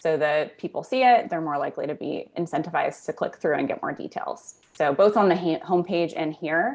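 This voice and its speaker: A woman's plain, everyday voice, fairly low in pitch, with lively intonation, a fairly quick pace and hardly any pauses. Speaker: conversion optimization specialist. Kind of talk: webinar store critique.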